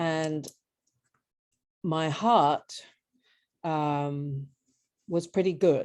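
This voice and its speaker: A woman with an English accent, very deep and low in pitch, at a very slow pace with long, frequent pauses against a quiet background. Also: ordinary pitch variation. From southern England, Brighton. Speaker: patient, former squash coach. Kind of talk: interview. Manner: halting.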